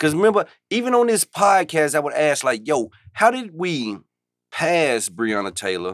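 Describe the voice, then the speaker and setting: At a moderate pace, a man speaks with a fairly high pitch that swings very widely. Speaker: podcast co-host. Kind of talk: casual banter. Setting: studio.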